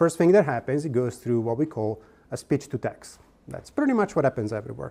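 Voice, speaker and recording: A man's medium-pitched voice with an Italian accent, dark and mellow in tone, with vocal fry, lively intonation and a fairly quick pace. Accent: Italian accent, noticeable. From Italy. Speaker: sales engineering executive, workshop presenter. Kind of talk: conference workshop presentation. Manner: conversational, with frequent fillers and restarts.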